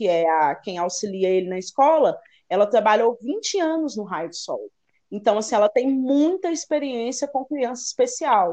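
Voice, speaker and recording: A woman speaks at a moderate pace with a high pitch and very wide pitch swings. Her tone is dark and mellow. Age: 30s. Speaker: journalist and mother of a child with Down syndrome. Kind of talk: interview.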